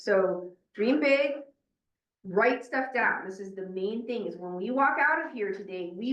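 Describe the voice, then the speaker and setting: With a fairly high pitch and lively intonation, a woman talks in an energetic tone at a moderate pace, some room echo audible. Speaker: meeting facilitator. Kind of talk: meeting facilitation. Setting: in-person meeting room with Zoom participants. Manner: loud.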